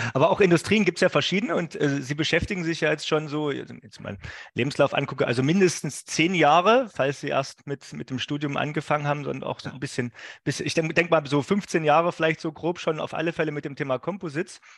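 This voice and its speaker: Over a quiet background, a man with a fairly high pitch speaks at a very fast pace with ordinary pitch variation. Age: 40s. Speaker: podcast host. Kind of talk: interview. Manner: hesitant, many fillers.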